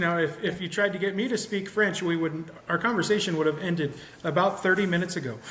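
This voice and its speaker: A very fast, high-pitched man with an American accent, amid noticeable background noise and audible room echo. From US Midwest, Nebraska. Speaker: podcast host, dog owner. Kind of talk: casual chat.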